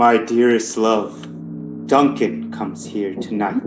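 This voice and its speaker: A man does a put-on character voice at a fairly low pitch and a fairly slow pace. Clear music plays in the background. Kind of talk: Shakespearean stage reading. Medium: stage play.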